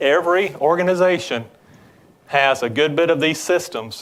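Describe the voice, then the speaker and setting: A man speaks with a Southern US accent. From Georgia, US South. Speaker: business development executive. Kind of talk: tech presentation. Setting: conference breakout stage with audience.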